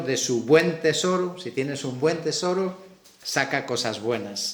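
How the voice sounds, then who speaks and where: A man talks at a fairly slow pace and a fairly high pitch with ordinary pitch variation. Noticeable background noise and audible room echo fill the recording. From Galicia, Spain. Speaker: preacher. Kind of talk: sermon.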